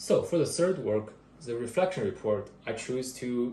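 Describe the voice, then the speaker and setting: Somewhat breathy and dark, mellow in tone, a man's medium-pitched voice with ordinary pitch variation carries audible room echo. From another country. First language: not English. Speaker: part-time engineering student. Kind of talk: class presentation. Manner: halting, with fillers and restarts.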